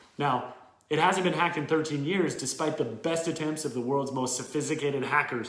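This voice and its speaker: Fairly high male speech, noticeable noise in the background, audible echo in the room. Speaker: educational YouTuber. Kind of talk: tutorial.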